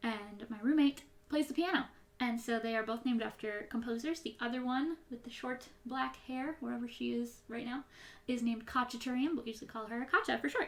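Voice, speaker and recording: A woman speaks with an American accent at a fairly quick pace. Her pitch is high, with ordinary variation. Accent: Midwestern, slightly twangy at times. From US Midwest. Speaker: YouTuber. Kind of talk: casual Q&A chat. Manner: sometimes mushes words when rushing.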